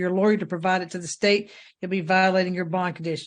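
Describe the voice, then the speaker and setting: In a Southern US accent, a high-pitched man speaks at a very fast pace against a quiet background. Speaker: judge. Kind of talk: court hearing. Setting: courtroom.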